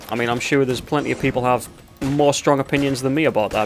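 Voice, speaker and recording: Medium-pitched man with a Newcastle accent. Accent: regional Geordie. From northern England, Tyneside. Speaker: gaming video creator. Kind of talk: let's play gaming commentary. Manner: casual, rambling with fillers.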